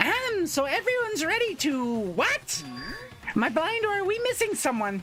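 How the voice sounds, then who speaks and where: Putting on a theatrical character voice, a man pitches it extremely high with very wide swings, and clear background noise is present. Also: moderate pace. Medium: game stream. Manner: theatrical, teasing.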